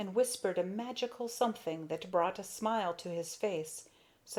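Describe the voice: The clip consists of plain reading aloud.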